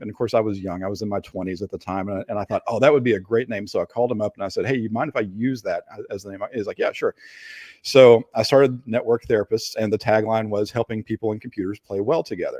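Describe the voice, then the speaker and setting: A man with a slight Appalachian accent, medium pitch, dark, mellow tone and ordinary pitch variation, at a very fast pace, in a dry, close sound with no echo and a quiet background. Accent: slight Appalachian twang. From Appalachia, Kentucky. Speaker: digital forensics expert. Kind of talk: interview. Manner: hesitant, many fillers.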